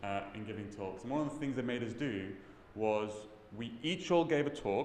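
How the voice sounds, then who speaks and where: A man with a British accent talks at a moderate pace and medium pitch. Audible room echo surrounds his voice. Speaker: tech conference speaker. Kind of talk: talk to an audience. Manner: mumbling.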